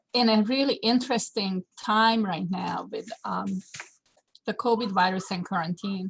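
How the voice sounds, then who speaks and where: A fairly slow pace in a non-native accent, with ordinary pitch variation. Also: woman. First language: not English. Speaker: landscape designer and horticulture teacher. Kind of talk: webinar presentation. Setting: video call webinar. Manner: halting, many fillers.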